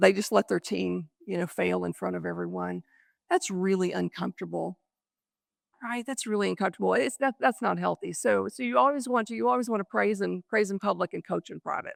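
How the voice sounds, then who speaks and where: Speaking at a fairly quick pace with an American accent, a woman sounds dry and close with no echo on a very clean recording with a silent background. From Texas Panhandle (Happy, Texas). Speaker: keynote speaker, business leader. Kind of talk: keynote speech. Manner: fast.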